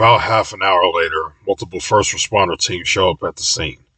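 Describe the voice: The pitch moves with ordinary variation. The delivery is plain reading aloud.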